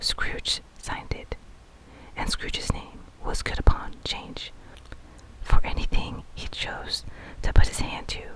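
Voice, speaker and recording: Someone whispers over noticeable background noise. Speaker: ASMR narrator reading a classic novel. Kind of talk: whispered ASMR bedtime book reading. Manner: whispered, soft, slow.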